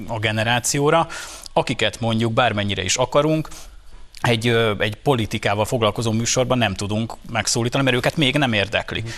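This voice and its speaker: In a very clean recording with a silent background, a plain, everyday voice speaks with ordinary pitch variation. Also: man. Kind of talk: casual banter on a TV talk show.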